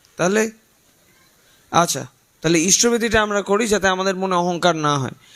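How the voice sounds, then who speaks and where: Animated in tone, a man speaks with a high pitch and ordinary variation in it. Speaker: spiritual leader. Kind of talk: religious talk to gathering.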